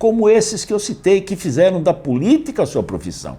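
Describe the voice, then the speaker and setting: Using very wide pitch swings, a man speaks in a high pitch. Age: 70s. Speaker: mayoral candidate. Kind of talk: interview. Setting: interview.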